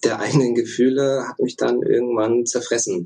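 The speaker is a man. His pitch is medium. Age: 30s. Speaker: former elite canoeist, engineering student. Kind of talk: interview. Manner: hesitant, many filler sounds.

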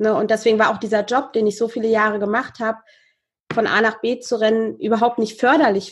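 A woman with a normal speaking voice talks at a fairly high pitch. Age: 30s. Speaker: podcast host, guest speaking about high sensitivity. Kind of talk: casual interview. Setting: video call.

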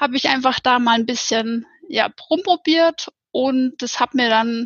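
With a moderate pace and ordinary pitch variation, a woman's speech proceeds. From Upper Bavaria, Germany (near Ammersee). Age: 30s. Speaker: office clerk, yoga course participant. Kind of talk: podcast interview. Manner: halting, many filler sounds.

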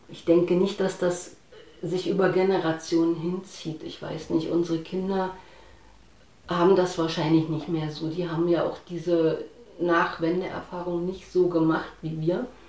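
A woman's fairly low voice, flat and monotone, at a fairly slow pace, with big swings in loudness and audible room echo. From East Germany, Harz region. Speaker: eyewitness interviewee, IT worker. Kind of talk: interview. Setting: at home.

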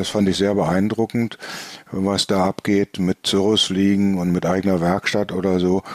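Here a man speaks with a fairly low pitch. The recording is dry and close, without echo. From northern Germany, Bremen. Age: 60s. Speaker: flying club chairman, former air traffic controller. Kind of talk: casual interview. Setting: remote from home.

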